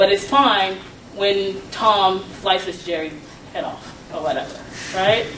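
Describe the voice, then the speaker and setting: Someone with an American accent speaks with ordinary pitch variation, big swings in loudness and long, frequent pauses, with noticeable background noise and audible room echo. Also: woman, medium pitch for a woman. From Atlanta, Georgia (US South). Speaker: law professor. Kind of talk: lecture. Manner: fast.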